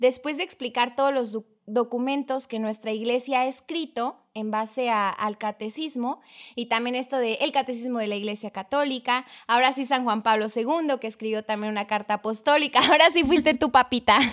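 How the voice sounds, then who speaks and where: On a very clean recording with a silent background, a woman with a high pitch speaks at a moderate pace with ordinary pitch variation. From Mexico, Chiapas (Tuxtla Gutiérrez). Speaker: children's catechist and lawyer. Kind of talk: casual chat.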